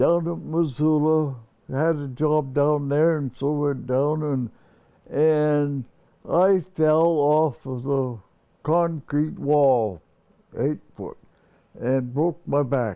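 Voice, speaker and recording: A man with an American accent and a fairly high pitch, at a very slow pace with long, frequent pauses and ordinary pitch variation. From Montana. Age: 80s+. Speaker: retired carpenter. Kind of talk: interview answer.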